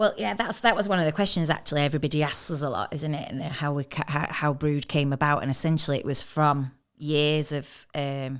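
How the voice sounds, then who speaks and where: A woman's very deep, low voice with a Mancunian accent, fairly quick with hardly any pauses, ordinary pitch variation, on a very clean recording against a silent background. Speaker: magazine co-founder and podcast host. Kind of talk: casual podcast chat.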